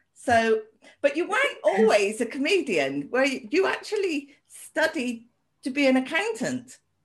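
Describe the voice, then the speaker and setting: A high-pitched woman with a British accent and very wide pitch swings. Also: fairly slow pace. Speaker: podcast host. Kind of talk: casual chat.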